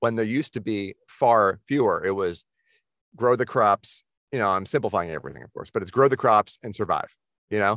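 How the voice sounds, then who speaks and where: A man with a plain, everyday voice and an American accent, medium pitch, ordinary pitch variation, a fairly quick pace, big swings in loudness, a dry, close sound with no echo, and a quiet background. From Boston area, US. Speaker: film and TV composer. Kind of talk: casual interview chat.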